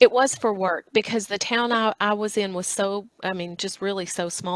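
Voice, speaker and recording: Speaking with a Southern US accent, a woman talks at medium pitch with ordinary pitch variation in a dry, close sound with no echo. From US South (Northwest Tennessee, Obion County). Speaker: chef and cookbook author. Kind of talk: interview.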